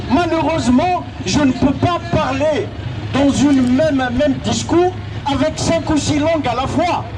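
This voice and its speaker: Crowd noise and audible room echo surround a man with an extremely high pitch. He talks at a very slow pace with ordinary pitch variation. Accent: Algerian. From Algeria, Kabylie. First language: Kabyle (speaking French). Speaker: activist. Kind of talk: public debate Q&A.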